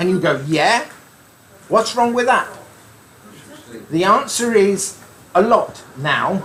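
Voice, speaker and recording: Over noticeable background noise, a man with a high pitch and lively intonation talks at a very slow pace, with long, frequent pauses. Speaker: amateur radio speaker. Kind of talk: club talk. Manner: light-hearted.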